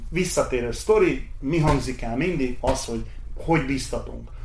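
Fairly slow male speech in audible room echo. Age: 40s. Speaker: race organizer. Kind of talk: interview. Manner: halting.

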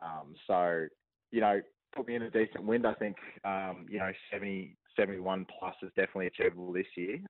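Very deep and low, a man's voice with an Australian accent moves at a moderate pace with fairly even intonation. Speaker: discus thrower. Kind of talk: interview.

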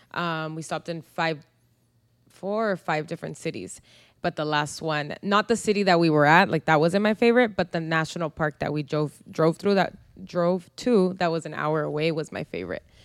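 On a very clean recording with a silent background and a dry, close sound with no echo, a woman with a fairly low pitch speaks at a moderate pace with ordinary pitch variation. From US, San Diego, Mexican-American family. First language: Spanish. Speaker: podcast co-host. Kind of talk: casual chat.

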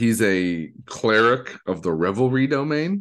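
Against a quiet background, a man with an American accent talks with very wide pitch swings. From Detroit, Michigan. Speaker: podcast host and streamer. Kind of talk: casual chat. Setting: video call. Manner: animated.

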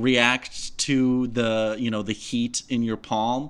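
The tone is bright and sharp. The delivery is flat and monotone. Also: man. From Russia, Moscow. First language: Russian. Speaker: film critic. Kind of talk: casual chat. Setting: remote from home.

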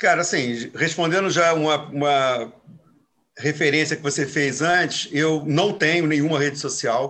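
A man speaks fairly slowly at a fairly high pitch. His tone is bright and sharp, and his intonation fairly even. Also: quiet background. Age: 60s. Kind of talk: casual chat.

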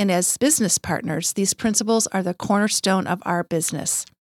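At a fairly quick pace, a woman with a plain, everyday voice speaks at a medium pitch with ordinary pitch variation. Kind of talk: casual podcast conversation.

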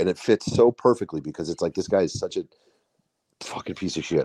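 A man talking at a fairly quick clip, the sound dry and close with no echo. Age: 30s. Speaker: podcast co-host. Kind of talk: casual chat. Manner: halting.

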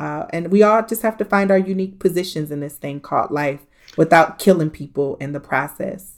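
A woman with an American accent speaks at a fairly quick pace in an unremarkable speaking voice, fairly low in pitch, with ordinary pitch variation. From US Midwest, Columbus, Ohio. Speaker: social justice activist. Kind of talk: interview.

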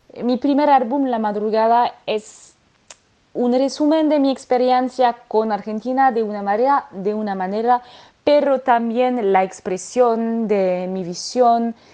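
A woman speaks with a French accent. Her pace is very slow. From French Alps, France. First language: French (speaking Spanish). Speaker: singer. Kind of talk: interview. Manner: halting.

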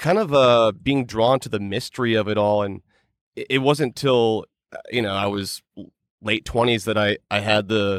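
Here a man uses a normal speaking voice at medium pitch, with fairly even intonation and a moderate pace. The sound is dry and close with no echo, on a very clean recording with a silent background. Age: 30s. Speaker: podcast host and true crime investigator. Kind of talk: casual chat.

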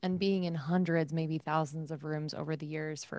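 Against a silent background on a very clean recording, a woman with a very deep, low pitch talks at a moderate pace with fairly even intonation. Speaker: fitness instructor and podcast host. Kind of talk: casual chat.

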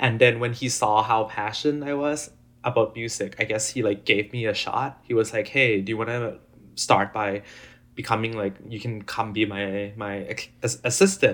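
A man speaks with a Thai accent. His intonation is fairly even and his pace moderate. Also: medium pitch for a man, very clean recording, silent background. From Thailand. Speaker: EDM DJ and music producer. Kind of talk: casual interview chat. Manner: halting, many fillers.

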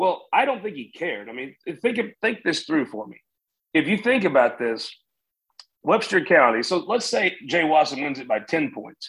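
Speaking with an American accent, a man uses a fairly high pitch and big swings in loudness. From rural Missouri. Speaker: political news editor. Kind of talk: casual interview.

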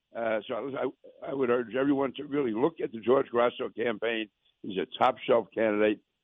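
This man talks fairly quickly with a New York accent. His pitch sits in the middle range and his intonation stays fairly even. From Queens, New York.

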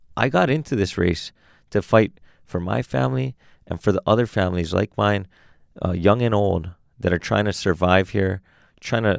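A very deep, low-pitched man with vocal fry and lively intonation at a moderate pace, dry and close with no echo, in a very clean recording with a silent background. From Hawaii, Honolulu. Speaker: city council candidate. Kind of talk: interview. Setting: studio.

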